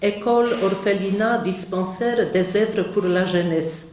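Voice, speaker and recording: A woman speaks at a very slow pace with fairly even intonation. Audible room echo surrounds her voice. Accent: Polish. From Poland. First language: Polish (speaking French). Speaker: nun, missionary. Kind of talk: conference talk. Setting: conference hall with audience.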